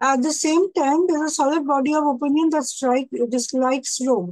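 Against a quiet background, a woman speaks in a high pitch. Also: dry sound with no echo. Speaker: teacher. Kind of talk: lecture. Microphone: webcam.

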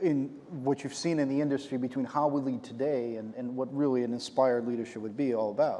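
A man's medium-pitched voice with a dark, mellow tone, at a very fast pace with hardly any pauses and fairly even intonation. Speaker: moderator, games company executive. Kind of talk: onstage interview. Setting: stage with audience. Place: stage. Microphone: lapel.

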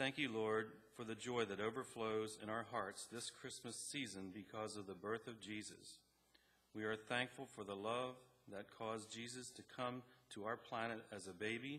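At a moderate pace, the voice has a bright, sharp tone and fairly even intonation. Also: man. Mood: solemn, calm. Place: church. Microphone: podium.

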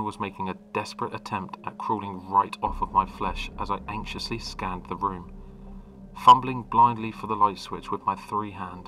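A man's fairly low-pitched, ordinary speaking voice at a moderate pace, with fairly even intonation and big swings in loudness. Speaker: creepypasta narrator. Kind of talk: ghost story telling.

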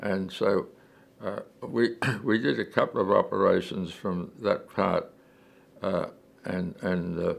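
Speaking with an Australian accent, a man moves at a fairly slow pace with long, frequent pauses. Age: 80s+. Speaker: war veteran. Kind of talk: interview answer. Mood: calm reminiscing, many hesitations. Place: home room. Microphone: lapel.

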